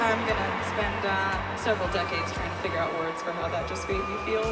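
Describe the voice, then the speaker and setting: Loud music plays in the background. A woman talks at a fairly quick pace. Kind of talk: stage banter to audience. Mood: overwhelmed, emotional, grateful. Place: stadium.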